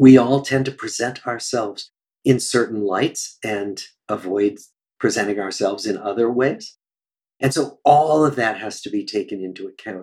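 This is a man with a medium-pitched voice. He speaks with a Midwestern US accent. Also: ordinary pitch variation, moderate pace. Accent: General American, Midwestern. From US Midwest, Des Moines, Iowa. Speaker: psychiatrist and researcher. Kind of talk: interview conversation.

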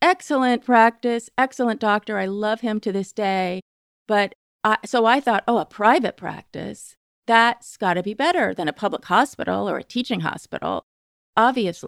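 A woman talks at a moderate pace in an unremarkable speaking voice, fairly high in pitch with ordinary variation. The recording is very clean with a silent background, and the sound is dry and close with no echo. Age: 50s. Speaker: writer and magazine editor. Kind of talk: casual chat.

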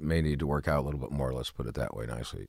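With vocal fry running through it, a man's voice sits at a very deep, low pitch. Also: very clean recording, silent background. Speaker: retired police officer and firearms instructor. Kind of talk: interview.

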